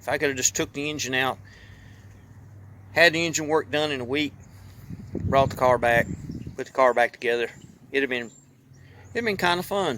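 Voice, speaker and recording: This man speaks at a moderate pace in a Southern US accent, his fairly high-pitched voice relaxed yet bright and sharp, with ordinary pitch variation. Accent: country Southern US. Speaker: YouTuber and hobby mechanic. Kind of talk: casual vlog talk. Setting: outdoors. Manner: relaxed, conversational.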